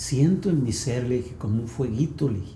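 A man speaks in a dark, mellow tone that is somewhat breathy. Audible room echo surrounds his voice. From Mexico, Sonora (Ciudad Obregón). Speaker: pastor. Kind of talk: testimony. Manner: halting.

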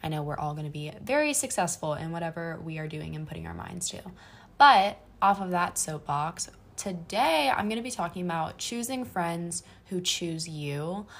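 Somewhat breathy and fairly low in pitch, a woman speaks at a moderate pace with lively intonation and big swings in loudness, in a very clean recording with a silent background. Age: 20s. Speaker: solo podcaster, college student. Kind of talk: casual monologue. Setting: apartment bedroom.

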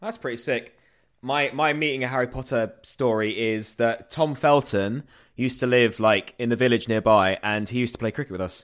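A man talks at a fairly quick pace in a medium pitch. He has ordinary pitch variation and a plain, everyday voice. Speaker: podcast host. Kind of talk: casual chat.

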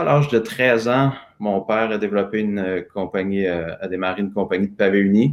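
A man with a Quebec accent speaks at a moderate pace in a fairly low pitch. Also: quiet background. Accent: Québécois French. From Quebec, Lanaudière. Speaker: personal transformation coach. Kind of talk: live interview with guided exercise. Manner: spontaneous.

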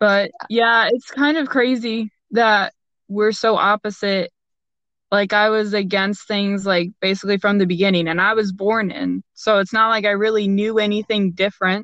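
With an American accent, a woman speaks in an unremarkable speaking voice at medium pitch, with fairly even intonation, very even loudness and a moderate pace. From Florida. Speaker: soldier, podcast co-host. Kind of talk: casual chat.

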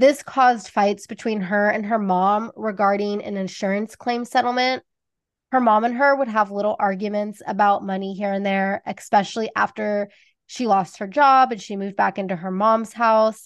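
Over a quiet background, a woman with an American accent speaks in a plain, everyday voice with fairly even intonation. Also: medium pitch for a woman, moderate pace. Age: 30s. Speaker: true crime podcast host. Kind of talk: true crime storytelling.

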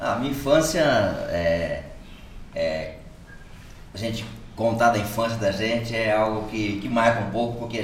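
A man talks at a fairly slow pace. Audible room echo and noticeable background noise surround his voice. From São Paulo state interior, Brazil (Piraju). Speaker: church leader, pastor. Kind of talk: casual chat, testimony.

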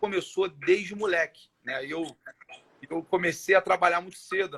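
The man speaks at a high pitch and moderate pace in a bright, sharp tone, with ordinary pitch variation and a dry, close sound with no echo. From Brazil, Rio de Janeiro (Irajá). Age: 30s. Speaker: education social project founder. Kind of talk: casual interview on live stream.

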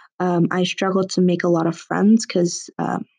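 A woman with an American accent, medium-pitched, against a quiet background. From US, part of childhood abroad. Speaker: podcast host. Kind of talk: personal monologue. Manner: hesitant, many fillers.

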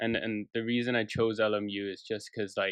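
Fairly low in pitch, a man speaks at a moderate pace in an ordinary speaking voice with fairly even intonation. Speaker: film industry creative. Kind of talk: casual chat.

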